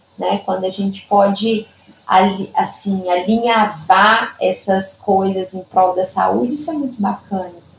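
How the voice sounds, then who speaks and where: A woman speaks at a fairly slow pace in a medium pitch with ordinary pitch variation, over noticeable background noise. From Minas Gerais, Brazil (Zona da Mata). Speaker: Padovan method therapist. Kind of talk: interview.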